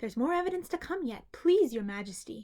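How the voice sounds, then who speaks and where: A put-on character voice with very wide pitch swings at a fairly quick pace. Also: woman. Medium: read story. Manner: respectful, hurried.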